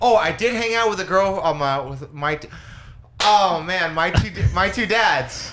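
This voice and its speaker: Audible room echo surrounds a speaker with a Californian accent. The pace is fairly slow, with ordinary pitch variation. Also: man, high pitch for a man. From Los Angeles. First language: Spanish. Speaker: comedian. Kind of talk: casual chat. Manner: halting.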